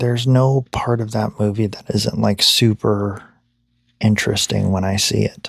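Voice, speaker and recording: Soft-spoken, a man talks at a fairly low pitch. His pace is moderate and his pitch variation ordinary. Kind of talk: ASMR boyfriend roleplay sleep ramble.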